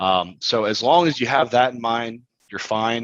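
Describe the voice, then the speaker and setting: A moderate pace marks this clip, delivered in an ordinary speaking voice. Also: man. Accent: American. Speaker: construction financing expert. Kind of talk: webinar Q&A. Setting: online webinar.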